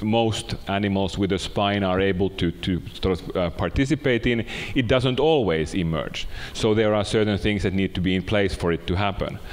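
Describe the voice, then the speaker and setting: Speaking at a moderate pace, a man with a normal speaking voice keeps a fairly low pitch, ordinary pitch variation and very even loudness. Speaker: speaker. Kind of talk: lecture. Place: hall.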